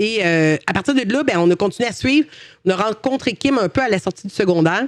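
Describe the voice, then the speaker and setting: In a Quebec accent, the voice moves with lively intonation, recorded dry and close with no echo. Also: woman. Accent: Québécois French. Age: 30s. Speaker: Twitch streamer and former TV gaming columnist. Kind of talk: interview. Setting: recorded live stream with chat.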